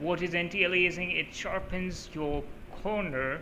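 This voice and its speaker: A man speaks at a high pitch and a fairly slow pace. Room echo is audible. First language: Urdu. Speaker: gaming YouTuber. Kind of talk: tutorial. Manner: casual, with many fillers.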